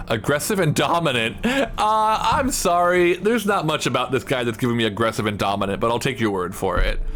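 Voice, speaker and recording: A man speaks at a fairly quick pace and a fairly high pitch, with very wide pitch swings, very even loudness and hardly any pauses. Background noise is noticeable. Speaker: streamer. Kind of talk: casual gameplay stream chat.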